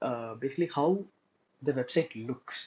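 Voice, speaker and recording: The man's voice has a somewhat breathy quality. His pitch varies in an ordinary way. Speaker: student instructor teaching web development. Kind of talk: tutorial. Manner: frequent filler hesitations.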